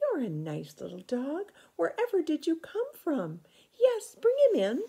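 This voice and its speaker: A woman does a squeaky put-on character voice at an extremely high pitch and a moderate pace. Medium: read story. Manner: warm, motherly.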